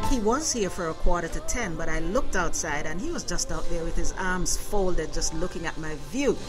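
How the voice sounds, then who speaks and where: A woman at a fairly quick pace with lively intonation and hardly any pauses, over clear music in the background. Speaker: radio host. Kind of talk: radio interview. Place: studio.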